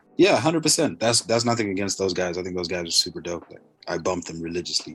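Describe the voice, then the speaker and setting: The speech is very fast, with an American accent and ordinary pitch variation. Its loudness swings widely. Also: man, very deep, low pitch for a man. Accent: American-sounding. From Zimbabwe. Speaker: rapper and soccer player. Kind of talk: casual interview chat.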